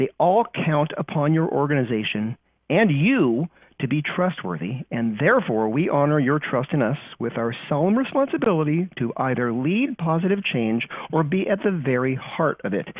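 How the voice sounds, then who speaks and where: Speaking at a moderate pace in a Californian accent, a man uses a fairly high pitch with very wide pitch swings. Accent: California. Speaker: company trust strategist presenting webinar. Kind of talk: webinar briefing. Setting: recorded online webinar.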